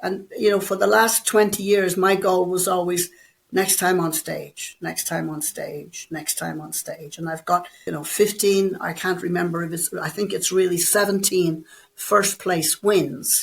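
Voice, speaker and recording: With an Irish accent and vocal fry, a woman talks at a fairly slow pace in a medium pitch, her intonation fairly even and her loudness swinging widely. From Ireland. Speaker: bodybuilder and personal trainer. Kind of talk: interview.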